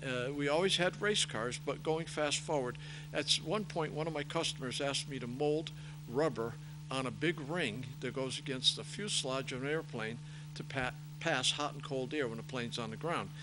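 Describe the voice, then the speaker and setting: A man with a fairly high pitch talks at a moderate pace in a bright, sharp tone with fairly even intonation. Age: 70s. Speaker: racing parts business owner and race director. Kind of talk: interview.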